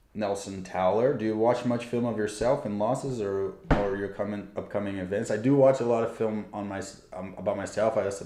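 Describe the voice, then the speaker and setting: The speaker has a Portuguese accent and a fairly quick pace, with fairly even intonation. Noticeable background noise and audible room echo fill the recording. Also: man. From Brazil. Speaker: tennis player and YouTuber. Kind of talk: livestream Q&A. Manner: casual, hesitant with fillers.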